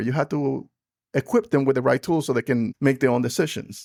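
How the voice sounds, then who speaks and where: The speaker talks at a very fast pace in a dry, close recording with no echo, very clean and with a silent background. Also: man. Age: 50s. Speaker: podcast host. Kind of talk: casual chat.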